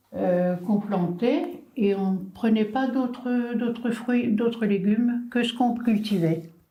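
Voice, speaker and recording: A woman speaks very slowly at a fairly high pitch with ordinary pitch variation. Her loudness stays very even, and the room echo is audible. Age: 70s. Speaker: senior talking with children. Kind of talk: intergenerational conversation.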